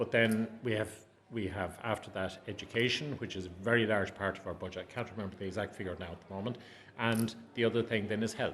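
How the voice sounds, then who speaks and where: A man with an Irish accent, a fairly low pitch, a very fast pace and fairly even intonation. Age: 60s. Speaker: adult education academic. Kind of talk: interview.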